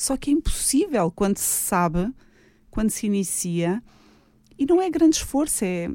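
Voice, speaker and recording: Long, frequent pauses break up this dark, mellow voice, which moves at a moderate pace through very wide pitch swings. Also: woman, fairly high pitch for a woman. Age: 40s. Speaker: hairdresser and cosmetics entrepreneur. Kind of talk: radio interview. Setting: radio studio.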